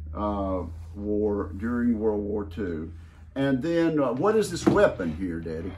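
A man with a fairly low voice speaks in an American accent at a fairly slow pace. His intonation is lively, and there is noticeable background noise. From Mississippi, USA. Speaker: U.S. senator. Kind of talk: interview questions. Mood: warm, respectful. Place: office.

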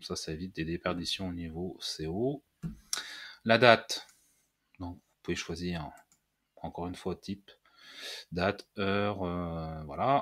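Fairly slow, fairly low-pitched speech from a man. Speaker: WordPress tutorial youtuber. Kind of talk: screen-recorded software tutorial. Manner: halting with many fillers.

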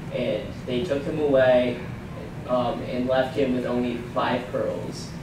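A man speaking at a very slow pace, with audible room echo and noticeable background noise. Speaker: presenter. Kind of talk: presentation. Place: hall. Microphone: camera far.

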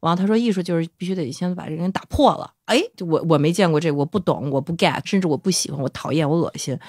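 A woman's very fast voice with ordinary pitch variation, the sound dry and close with no echo. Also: fairly low pitch for a woman, hardly any pauses. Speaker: band lead singer. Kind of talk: casual interview chat.

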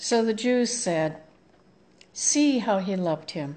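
This is a woman's voice. She speaks at a very slow pace. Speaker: scripture reader at online service. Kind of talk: liturgical scripture reading. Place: home room. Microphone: phone near.

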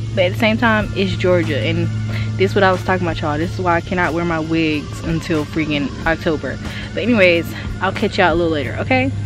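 A woman talking at a very fast pace, clear music behind her, the sound dry with no echo. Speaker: vlogger. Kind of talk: casual vlog chat. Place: open country. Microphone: phone near.

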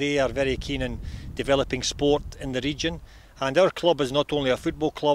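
A man with vocal fry speaks at a fairly quick pace, the sound dry with no echo and light background noise behind him. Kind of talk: interview answer. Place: stadium. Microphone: handheld.

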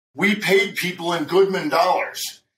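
A man speaks with a high pitch and ordinary pitch variation. Light background noise and audible room echo are present. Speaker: trading educator. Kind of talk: interview. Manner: animated. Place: home room.

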